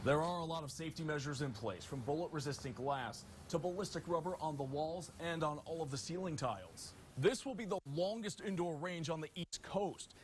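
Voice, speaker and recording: Here a man talks in a somewhat breathy voice. His pace is fairly quick. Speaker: TV news anchor and reporter. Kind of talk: news anchor headline reads.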